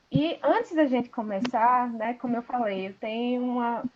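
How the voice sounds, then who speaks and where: In a strong northeastern Brazilian accent, a woman talks with a high pitch and ordinary pitch variation. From Sergipe, northeast Brazil. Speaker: pharmacy professor. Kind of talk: online lecture. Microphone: some viewers report bad audio.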